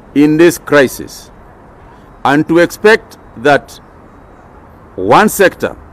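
The intonation is lively, and the sound is dry with no echo. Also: man. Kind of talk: official press statement. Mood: firm, serious. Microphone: podium.

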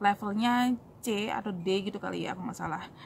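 Over light background noise, a woman talks at a moderate pace in a somewhat breathy voice with fairly even intonation. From Indonesia, raised in Surabaya; Indonesia. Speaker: YouTuber answering immigration questions; vlogger answering viewer questions. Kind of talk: casual Q&A vlog. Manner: casual with many fillers. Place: street. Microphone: phone near.

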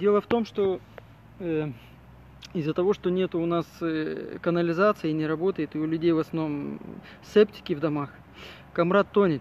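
A man's high voice comes through amid noticeable background noise. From Gagauzia, Moldova (Comrat). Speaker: video blogger, former city hall worker. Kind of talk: vlog walk-and-talk commentary. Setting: outdoors by a river. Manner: hesitant, many fillers.

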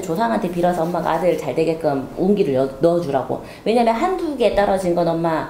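A woman speaks at a fairly quick pace. Light background noise and audible room echo can be heard. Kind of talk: fortune reading consultation. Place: home room.

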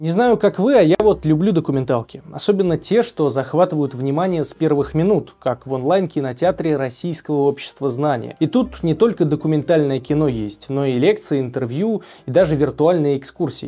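The tone is dark and mellow. There are hardly any pauses. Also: man, fairly high pitch for a man, lively intonation, moderate pace. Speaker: interviewer. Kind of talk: sponsored ad read. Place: studio. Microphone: lapel.

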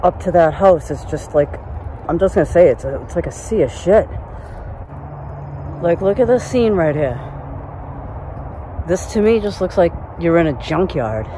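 Noticeable background noise surrounds a dry sound with no echo. The pace is moderate, with long, frequent pauses. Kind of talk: casual vlog commentary. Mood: amazed, curious. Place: forest. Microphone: phone near.

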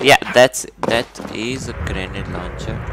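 A man with an Indian accent talks at a moderate pace, the sound dry with no echo and noticeable background noise behind him. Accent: Indian English, Hindi speaker. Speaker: gaming streamer. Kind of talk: live gameplay commentary; casual gaming commentary. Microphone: headset.

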